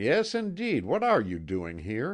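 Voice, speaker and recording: A man adopts a put-on character voice, pitched in the medium range and delivered fairly slowly. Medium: read story.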